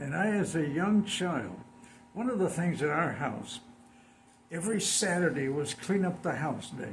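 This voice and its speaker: There is audible room echo as a man with an American accent speaks at a moderate pace, his high pitch varying in an ordinary way. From San Diego, California. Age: 90s. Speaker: community elder. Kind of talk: interview.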